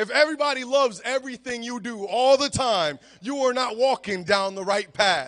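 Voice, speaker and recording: An animated man's voice at an extremely high pitch for a man, moderate pace, ordinary pitch variation and hardly any pauses. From United States, Puerto Rican family. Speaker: pastor. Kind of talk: sermon. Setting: church.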